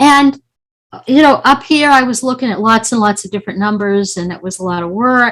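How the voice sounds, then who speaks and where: A woman speaks in an ordinary speaking voice at a fairly high pitch. The recording is very clean, with a silent background. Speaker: mathematics professor. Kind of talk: lecture.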